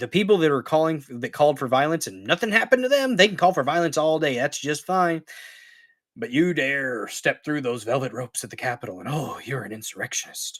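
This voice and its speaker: A man's fairly high voice with an American accent, lively intonation and a fairly quick pace, on a very clean recording with a silent background. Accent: country redneck. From Missouri. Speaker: political commentary streamer. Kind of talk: live stream commentary. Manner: angry profane ranting.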